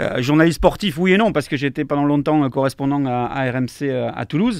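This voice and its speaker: Very fast speech from a man in a southern French accent, fairly high in pitch, with ordinary pitch variation. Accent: southern French accent, kept. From southwest France, Montauban (Tarn-et-Garonne). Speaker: sports commentator. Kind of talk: casual interview chat. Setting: live stream. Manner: halting, many hesitations.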